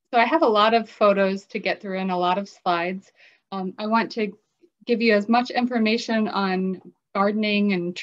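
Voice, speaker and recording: Against a quiet background, the speaker keeps a moderate pace and fairly even intonation. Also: woman. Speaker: presenter. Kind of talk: lecture. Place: home room. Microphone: webcam.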